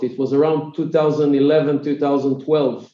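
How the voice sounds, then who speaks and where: A man's fairly high voice with an Israeli accent, a dark, mellow tone and a very slow pace. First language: Hebrew. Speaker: tech company founder and CEO. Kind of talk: interview. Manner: halting, many filler sounds.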